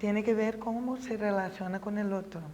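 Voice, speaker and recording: In a Brazilian accent, a woman speaks at a moderate pace with fairly even intonation, and noticeable background noise is present. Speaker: professor of pedagogy. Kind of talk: interview.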